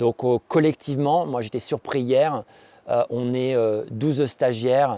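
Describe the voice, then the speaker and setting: Using fairly even intonation and a moderate pace, a man with a dark, mellow tone speaks at medium pitch in a dry, close sound with no echo. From Normandy, France (Rouen). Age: 40s. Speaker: entrepreneur, former top-level athlete, course participant. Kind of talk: testimony. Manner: hesitant, many filler sounds.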